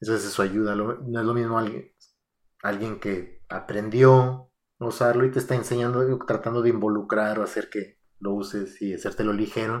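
At a moderate pace, a man with a normal speaking voice talks in a medium pitch with fairly even intonation. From Mexico, Aguascalientes. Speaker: software engineer. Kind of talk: casual chat.

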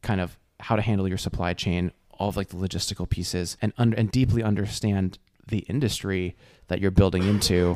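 In a plain, everyday voice with an American accent, a man speaks fairly low and at a fairly quick pace with fairly even intonation, on a very clean recording with a silent background. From New Jersey. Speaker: venture capital investor. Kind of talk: casual chat.

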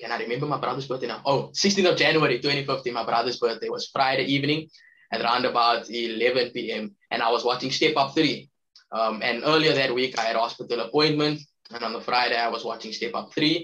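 A man speaks at a fairly quick pace in a bright, sharp tone. His pitch varies an ordinary amount. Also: medium pitch for a man. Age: 20s. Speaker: guest living with a rare chronic illness. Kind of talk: interview. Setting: remote call.

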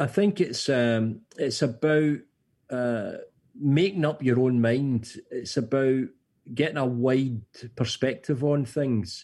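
Very slowly and at a very even loudness, a man talks in a medium-pitched voice with a dark, mellow tone and ordinary pitch variation, leaving long, frequent pauses. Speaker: charity chief executive. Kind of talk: radio interview.

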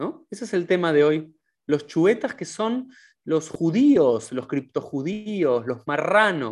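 This man talks at a very slow pace in a high voice, his pitch swinging very widely. He has a Rioplatense accent, and the background is quiet. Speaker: podcast host. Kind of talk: interview.

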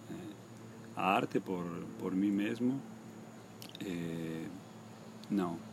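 Very slow speech with long, frequent pauses and very wide pitch swings, amid audible room echo and noticeable background noise. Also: man, very deep, low pitch for a man. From Argentina, Misiones (Posadas). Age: 50s. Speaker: painter. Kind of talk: interview. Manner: halting.

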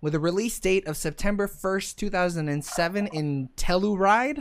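An animated tone in a very clean recording with a silent background. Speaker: podcast host. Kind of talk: casual banter podcast. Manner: joking, animated, profane.

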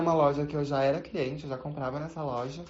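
Audible room echo surrounds a woman who speaks at a fairly quick pace with a very deep, low pitch. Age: 20s. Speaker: retail saleswoman. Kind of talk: recorded testimony.

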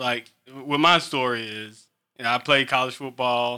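The recording is very clean, and the background is silent. In it, a man talks in a bright, sharp tone. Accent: American. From Eastern North Carolina. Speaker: podcast host and sports official. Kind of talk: casual interview.

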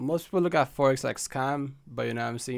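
Very fast-paced speech from a man. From Haiti. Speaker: forex trader and lab chemist. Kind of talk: casual interview.

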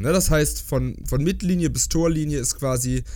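Noticeable background noise fills the space around a man who speaks at a moderate pace. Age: 30s. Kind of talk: casual chat. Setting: video call. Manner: halting.

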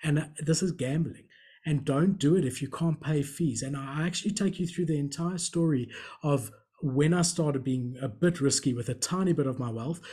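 At a fairly quick pace, a man with a fairly high pitch and ordinary pitch variation talks in a dark, mellow, somewhat breathy tone. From South Africa. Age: 30s. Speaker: entrepreneur and collector. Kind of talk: casual interview chat.

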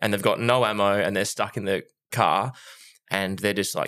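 On a very clean recording with a silent background, a man with an Australian accent speaks fairly quickly at a fairly low pitch with ordinary variation. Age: 30s. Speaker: podcast co-host. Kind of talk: casual chat. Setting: studio.

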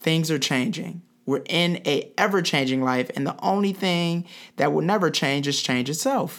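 In an American accent, a man talks at a fairly slow pace with ordinary pitch variation. His is a plain, everyday voice. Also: very clean recording, silent background. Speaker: podcast host. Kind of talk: interview.

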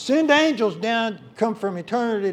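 A man's high-pitched voice with ordinary pitch variation, at a moderate pace. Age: 50s. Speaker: pastor. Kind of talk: sermon.

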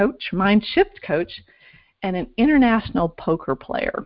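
A woman speaks in an unremarkable speaking voice at medium pitch, keeping a moderate pace with lively intonation. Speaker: podcast host. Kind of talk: interview.

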